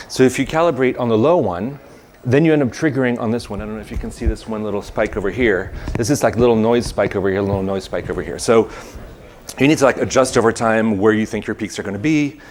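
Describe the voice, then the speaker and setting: Amid noticeable background noise, a man at a medium pitch talks at a very fast pace with ordinary pitch variation. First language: not English. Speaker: conference speaker, software developer. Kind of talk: technical presentation. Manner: halting, many fillers.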